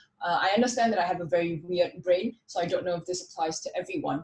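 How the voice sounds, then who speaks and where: A woman's somewhat breathy voice carries lively intonation. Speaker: conference speaker, frontend developer. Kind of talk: technical talk with live demo.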